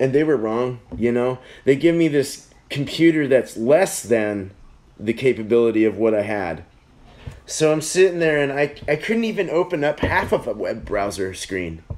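At a moderate pace, a man speaks with very wide pitch swings. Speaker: beer review livestream host. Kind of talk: casual livestream chat. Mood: annoyed, joking complaint. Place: home room. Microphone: phone near.

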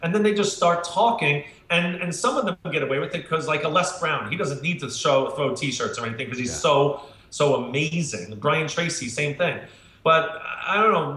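A man talks at a moderate pace, with audible room echo. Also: ordinary pitch variation. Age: 50s. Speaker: marketing speaker. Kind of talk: interview. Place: home room. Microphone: webcam.

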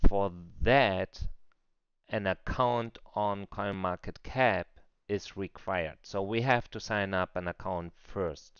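Speaking at a very slow pace with a non-native accent, a man uses a fairly low pitch and ordinary pitch variation. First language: non-native English speaker. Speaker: crypto trader. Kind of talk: screen-recorded software tutorial.

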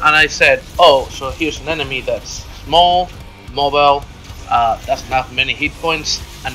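This man keeps a moderate pace, with music sounding in the background. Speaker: gamer. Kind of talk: game tutorial narration. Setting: home recording, poor sound quality.

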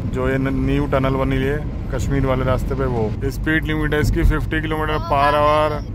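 A man at a fairly slow pace, dry sound with no echo, under loud background noise. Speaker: driver vlogger. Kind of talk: casual vlog chat. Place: car. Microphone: phone near.

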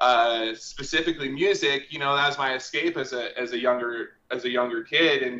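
A man talks at a fairly quick pace with hardly any pauses, and audible room echo fills the space. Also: fairly even intonation. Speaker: guest. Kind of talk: interview answer. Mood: relaxed, joking. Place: home room. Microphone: video call.

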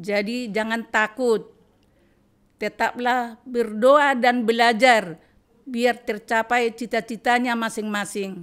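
A woman at a very slow pace, fairly even intonation, quiet background. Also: fairly high pitch for a woman. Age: 80s+. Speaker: rice distributor, widow; podcast guest. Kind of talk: testimony. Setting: her home. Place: home room. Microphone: studio mic.

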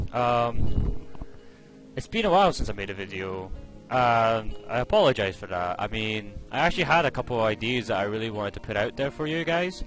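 With music in the background, a man speaks at a medium pitch. His intonation is lively. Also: fairly quick pace. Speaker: gaming video commentator. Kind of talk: casual game guide commentary.

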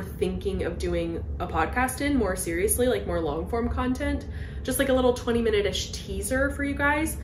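A woman speaks at a moderate pace. Light background noise and audible room echo are present. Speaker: video creator, co-host. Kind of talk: casual podcast chat. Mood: cheerful, laughing. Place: home room. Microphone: handheld.

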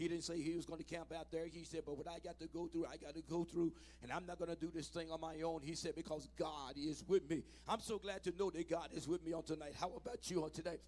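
Shouting at a very fast pace, a man speaks with a high voice. His tone is animated. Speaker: preacher. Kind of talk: sermon. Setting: church. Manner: call-and-response, urging the congregation to shout back; animated, exhorting. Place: church. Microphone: handheld.

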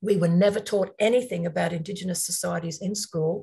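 A woman with an Australian accent sounds somewhat breathy, her intonation fairly even against a quiet background. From Australia (Queensland). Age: 50s. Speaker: environmental law nonprofit leader and workshop host; workshop host. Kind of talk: online workshop presentation. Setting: video call. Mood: reflective, personal story. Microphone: webcam.

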